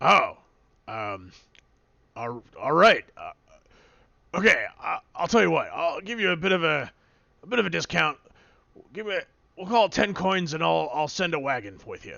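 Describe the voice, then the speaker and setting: A man puts on a raspy character voice, pitched high. He leaves long, frequent pauses. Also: moderate pace. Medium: actual play. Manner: folksy, hesitant.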